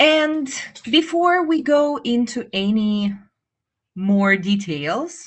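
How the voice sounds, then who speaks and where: Against a quiet background, a woman with a Russian accent speaks with very wide pitch swings. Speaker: English teacher. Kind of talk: live webinar. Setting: live stream.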